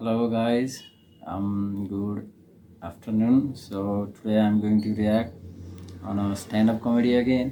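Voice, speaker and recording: With a Nepali accent, a man speaks at a fairly slow pace in a fairly low, dark, mellow voice with fairly even intonation. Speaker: reaction video creator. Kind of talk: casual reaction commentary. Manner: halting, many fillers.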